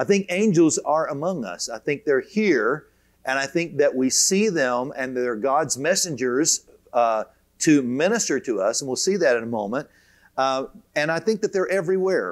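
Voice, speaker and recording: The speech moves at a moderate pace with lively intonation over a quiet background. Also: man. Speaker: teacher of a Bible course. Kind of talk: lecture. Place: hall. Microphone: lapel.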